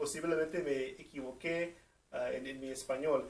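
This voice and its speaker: A man with a non-native accent talks in a high voice. He keeps a fairly slow pace. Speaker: interviewer of a seminarian. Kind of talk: video narration introducing an interview clip. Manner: halting, many fillers.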